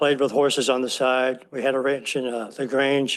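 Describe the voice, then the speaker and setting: Speaking at a moderate pace, a man keeps a medium pitch. His intonation is monotone and flat. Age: 60s. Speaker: board applicant, horse trainer. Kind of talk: interview for board seat.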